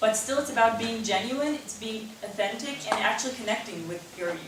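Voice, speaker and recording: A woman talks at a fairly quick pace with a fairly high pitch. Noticeable background noise and audible room echo surround her. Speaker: public speaker. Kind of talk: Q&A after talk. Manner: halting.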